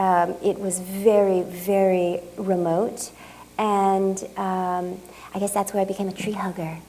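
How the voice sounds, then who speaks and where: A woman's medium-pitched, flat monotone at a very slow pace, with audible room echo and noticeable background noise. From Japan and California, US. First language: Japanese. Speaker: artist. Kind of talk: lecture Q&A. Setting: museum talk with audience. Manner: halting, many fillers.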